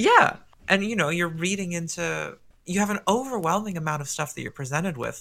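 A man's high-pitched voice with a bright, sharp tone. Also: ordinary pitch variation, fairly quick pace. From Canada. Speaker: guest. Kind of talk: casual podcast chat. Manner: playful, joking.

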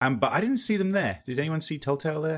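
With an Australian accent, a man speaks at a fairly quick pace using very wide pitch swings. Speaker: podcast host. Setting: living on the US East Coast.

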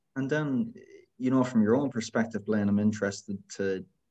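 With a west of Ireland accent, a man speaks in a dark, mellow tone. His intonation is fairly even and his pace moderate. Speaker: podcast host. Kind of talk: casual interview.

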